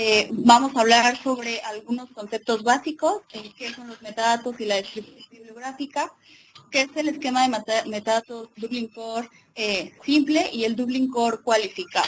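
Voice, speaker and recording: An ordinary speaking voice from a woman at a fairly high pitch, with ordinary pitch variation, big swings in loudness and a moderate pace. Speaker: librarian and webinar presenter. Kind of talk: lecture. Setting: webinar with live and remote audience.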